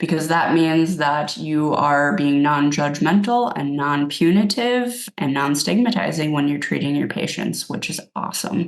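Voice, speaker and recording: A woman's very deep, low voice with lively intonation at a fairly slow pace, with hardly any pauses. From Minnesota. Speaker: addiction medicine clinician presenter. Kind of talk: webinar presentation. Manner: casual, with filler words.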